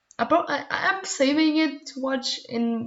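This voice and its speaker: The woman's voice is somewhat breathy. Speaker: podcast co-host. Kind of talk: casual chat. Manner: halting.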